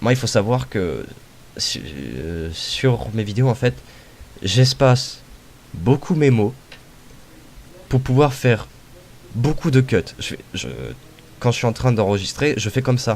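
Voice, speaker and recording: Talking at a very slow pace, a man leaves long, frequent pauses. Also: medium pitch for a man, ordinary pitch variation. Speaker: YouTuber. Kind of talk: interview. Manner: halting.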